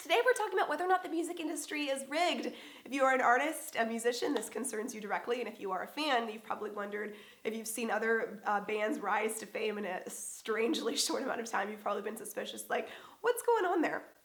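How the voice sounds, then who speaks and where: Her pitch is fairly high and her intonation lively as this woman talks at a very fast pace. Noticeable background noise can be heard. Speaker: musician and video host. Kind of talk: vlog monologue.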